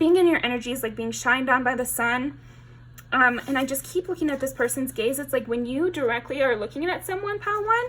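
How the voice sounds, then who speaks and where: Lively intonation at a very fast pace, with noticeable background noise. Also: woman, high pitch for a woman. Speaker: tarot reader. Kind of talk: tarot reading. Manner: hesitant with many fillers.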